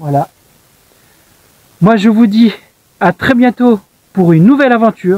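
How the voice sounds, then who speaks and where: The sound is dry and close with no echo. The intonation is lively. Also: man. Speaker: hiking vlogger. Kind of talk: vlog narration. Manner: whispering in church; soft-spoken.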